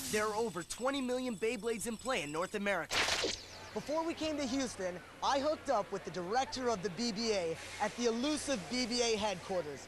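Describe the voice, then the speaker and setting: Over noticeable background noise, a man speaks at a fairly quick pace in an upbeat tone, his high-pitched voice carrying lively intonation. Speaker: voice actor. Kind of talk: TV show host segment.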